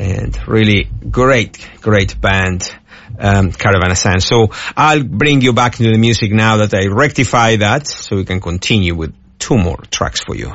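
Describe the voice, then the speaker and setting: Noticeable background noise around a man's voice of ordinary pitch variation. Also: fairly low pitch for a man, moderate pace. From Argentina. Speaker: radio DJ. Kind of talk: radio DJ patter: weather report, song back-announcements, show plugs. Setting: radio studio. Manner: halting, stumbling, repeats words and fillers (uh, um).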